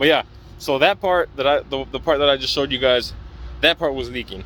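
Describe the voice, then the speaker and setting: Speaking at a medium pitch for a man, he shows ordinary pitch variation. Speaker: diesel tech student. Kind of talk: tutorial. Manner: halting.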